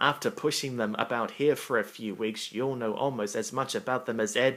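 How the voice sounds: Reading aloud in a natural voice.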